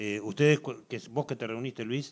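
This is a man speaking. He has a Uruguayan accent. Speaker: football commentator; talk show guest. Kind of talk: TV sports talk show. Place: studio.

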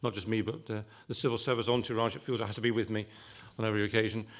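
Very fast, monotone, flat speech from a man against a quiet background. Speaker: government official at a panel. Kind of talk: Q&A answer. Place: hall. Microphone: podium.

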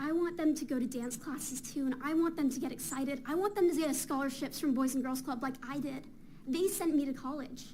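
At a fairly quick pace, the speaker talks with an American accent amid audible room echo. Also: woman, high pitch for a woman. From Fountain Valley, California. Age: 20s. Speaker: college student, public commenter. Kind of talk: public comment at council meeting. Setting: council chamber with audience. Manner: impassioned.

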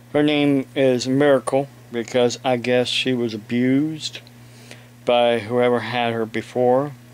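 A man with an American accent speaks in a flat monotone at a fairly slow pace. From Ohio, US. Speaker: evangelist preacher and video blogger. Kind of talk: angry rant, indignant and scolding, aimed at online trolls who harass his family. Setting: home, talking to camera with a kitten and police scanner nearby. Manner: halting, filler-filled, self-interrupting; indignant, raised and confrontational during the rant. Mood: aggrieved in parts. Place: home room. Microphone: webcam.

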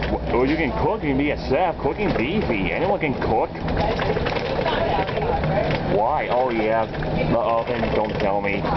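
A man at a fairly slow pace with long, frequent pauses, over loud background noise. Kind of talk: casual conversation. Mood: curious, chatty. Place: bus. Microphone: phone near.

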